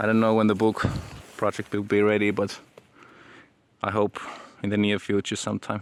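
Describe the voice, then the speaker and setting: Speaking in a Finnish accent, a man with a fairly low pitch keeps a monotone, flat intonation at a moderate pace. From Finland. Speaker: aspiring entrepreneur and author, vlogger. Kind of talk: casual vlog monologue. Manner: halting, many repetitions.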